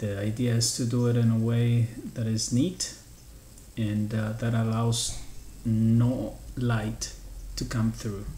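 Audible room echo and light background noise surround a very slow pace of speech. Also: man. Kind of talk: tutorial. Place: kitchen.

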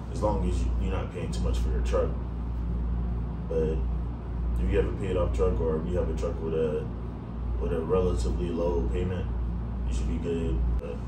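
Loud background noise fills the space as a man talks at a moderate pace, broken by long, frequent pauses. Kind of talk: casual vlog chat. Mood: calm advice giving. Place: home room. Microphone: camera far.

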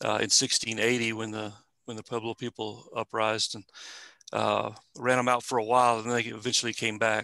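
A man with a West Texas accent speaks at medium pitch in a bright, sharp tone with monotone, flat intonation. The sound is dry and close with no echo over a quiet background. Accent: West Texas-style Southwestern US drawl. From eastern New Mexico. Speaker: museum staff presenter. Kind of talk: informal presentation with Q&A. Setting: video call.

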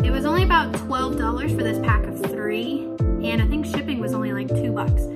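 Loud music plays in the background. Over it, a woman talks at a fairly quick pace. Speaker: beginner hobby vlogger. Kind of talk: casual talk to camera. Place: home room. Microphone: phone near.

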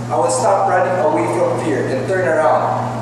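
Strong room echo and noticeable background noise surround a man's voice. His pitch is fairly high, his pace fairly slow and his intonation lively. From Philippines. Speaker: spoken word performer. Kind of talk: spoken word poetry performance. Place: hall.

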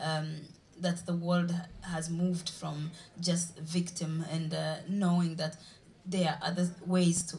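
A woman's fairly low, somewhat breathy voice with a Ugandan accent, monotone flat intonation and a fairly slow pace. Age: young. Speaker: journalist and blogger. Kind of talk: panel debate. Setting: stage with audience. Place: stage. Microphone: handheld.

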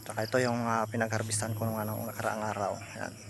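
A man speaks at a medium pitch over noticeable background noise, with audible room echo. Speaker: water buffalo dairy farmer and vlogger. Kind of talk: casual vlog tutorial. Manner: halting, many fillers.

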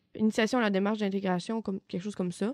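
Recorded dry and close with no echo, a woman with a Quebec accent speaks at a medium pitch in a very clean recording with a silent background. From Quebec, Côte-Nord (Baie-Comeau). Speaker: student. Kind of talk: casual chat.

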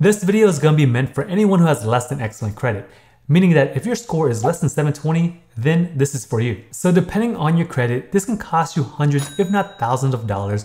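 A man with a dark, mellow, somewhat breathy voice speaks at a fairly quick pace with very wide pitch swings. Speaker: credit education youtuber. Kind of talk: tutorial. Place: home room.

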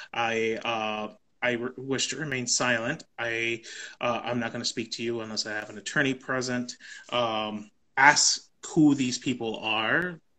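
A man speaks at a fairly slow pace over a quiet background. His tone is bright and sharp, with fairly even intonation. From US South, Texas Rio Grande Valley; Texas. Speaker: immigrant rights policy advocate. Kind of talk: know-your-rights explainer in a live conversation. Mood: calm, informative. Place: home room. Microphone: video call.

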